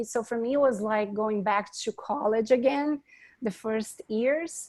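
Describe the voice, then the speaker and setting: A woman with a strong Brazilian accent speaks fairly slowly in a fairly high voice with fairly even intonation. The recording is very clean, with a silent background and a dry, close sound with no echo. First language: Portuguese. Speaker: architect. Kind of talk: panel discussion.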